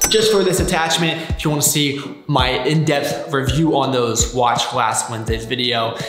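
Clear music plays behind a man whose pitch varies in an ordinary way. The room echo is audible. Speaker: fitness vlogger. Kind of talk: casual vlog chat. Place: garage.

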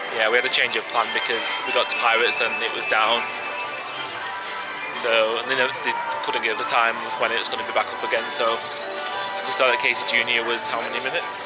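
A man talks at a very fast pace over loud background music. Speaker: vlogger. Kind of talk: casual vlog chat. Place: street. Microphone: phone near.

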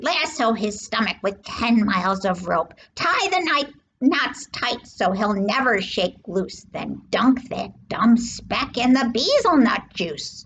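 A woman puts on a character voice with a fairly high pitch, big pitch swings, a fairly bright tone and a slightly husky edge, speaking slowly with few pauses.

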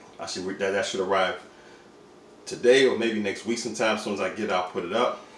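A man talks at a very fast pace in an animated tone with a fairly low pitch. Audible room echo and light background noise come through. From Washington DC. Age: 40s. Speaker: vlogger; fashion vlogger. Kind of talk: casual vlog. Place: home room. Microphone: phone near.

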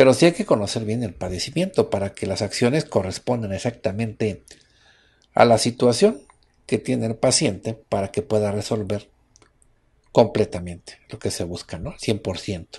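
Against a quiet background, a man with a Mexican accent speaks at a moderate pace and a fairly low pitch, his tone dark, mellow and somewhat breathy, with ordinary pitch variation. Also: big swings in loudness. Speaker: radio host. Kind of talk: radio health talk show.

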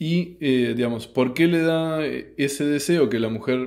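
A man at a fairly slow pace, with ordinary pitch variation, against a quiet background. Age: 30s. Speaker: YouTube host commenting on philosophy books; philosophy commentator. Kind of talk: book review monologue. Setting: at home in his apartment at night. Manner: hesitant, many filler sounds. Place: home room.

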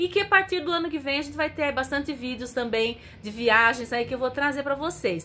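Raised and projected, a woman's high-pitched voice moves at a fairly quick pace with lively intonation over light background noise. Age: 50s. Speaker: travel vlogger. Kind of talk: casual vlog address to viewers. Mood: warm, cheerful. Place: home room. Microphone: phone near.

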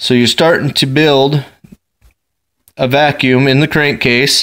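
Against a quiet background, the speech moves at a fairly slow pace. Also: man. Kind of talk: tutorial. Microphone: phone near.

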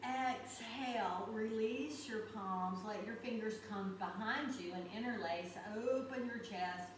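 A woman with a fairly high pitch speaks at a very slow pace with ordinary pitch variation. There is noticeable background noise and audible room echo. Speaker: yoga instructor. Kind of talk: guided yoga class. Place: home room. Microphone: camera far.

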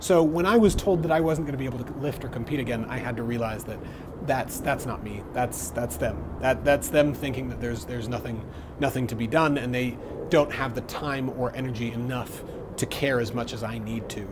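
A man speaks fairly quickly as noticeable background noise carries on around him. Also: ordinary pitch variation. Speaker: fitness vlogger. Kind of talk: casual vlog chat. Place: home room. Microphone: earbuds.

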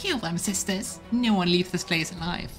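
A female-sounding voice, put on for a character, sits at a medium pitch and sounds shrill. Clear music plays in the background. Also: moderate pace. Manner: shrieking, menacing.

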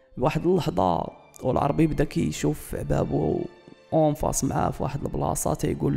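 A man speaks at a moderate pace while music plays behind him. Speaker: storyteller. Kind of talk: true-crime / history storytelling.

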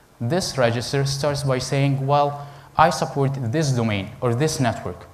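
A man's voice shows ordinary pitch variation against light background noise. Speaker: conference presenter. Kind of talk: lecture. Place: hall.

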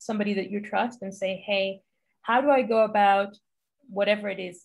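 A woman speaks with an Israeli accent at a fairly quick pace. Her voice is somewhat breathy, and her intonation stays fairly even. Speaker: health journalist. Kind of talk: interview. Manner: casual, uses many fillers. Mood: reflective, earnest. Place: home room. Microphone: video call.

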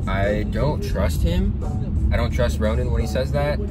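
A man's dry voice with no echo over loud music in the background. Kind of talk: confessional vlog chat. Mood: wary, slightly dismissive. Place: car. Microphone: phone near.

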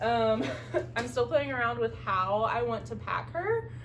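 A woman speaking fairly slowly over light background noise. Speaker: hiker reviewing gear. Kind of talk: casual vlog chat. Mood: relaxed, light-hearted. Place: home room. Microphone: camera far.

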